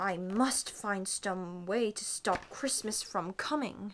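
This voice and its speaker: A woman's put-on character voice, growling at a medium pitch and a fairly slow pace. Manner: growling, scheming.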